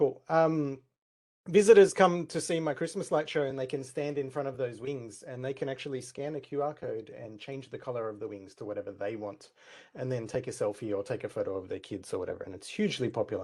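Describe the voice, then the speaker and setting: Very fast speech from a man in an Australian accent, fairly high-pitched with lively intonation and big swings in loudness, on a very clean recording with a silent background. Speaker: tech community speaker. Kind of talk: conference talk with live demo. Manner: shaky, nervous.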